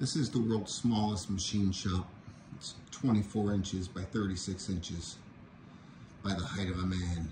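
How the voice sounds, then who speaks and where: The voice is somewhat breathy, with fairly even intonation at a moderate pace. Noticeable background noise runs behind it. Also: man, very deep, low pitch for a man. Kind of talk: casual show-and-tell. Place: workshop. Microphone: phone near.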